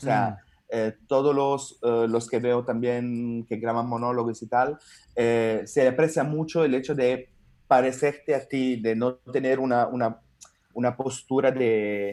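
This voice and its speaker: Over a very clean recording with a silent background, a man with a dark, mellow tone speaks at medium pitch and a very slow pace in monotone, flat intonation. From Italy. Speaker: stand-up comedian. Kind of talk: interview answer.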